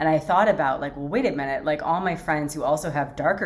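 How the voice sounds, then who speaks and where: A woman is heard over noticeable background noise. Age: 40s. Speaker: lifestyle vlogger. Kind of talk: casual chat. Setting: home office. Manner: hesitant, many fillers.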